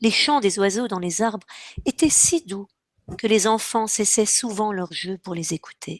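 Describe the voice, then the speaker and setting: A woman talks fairly slowly with ordinary pitch variation. The sound is dry and close, with no echo. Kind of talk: children's story reading.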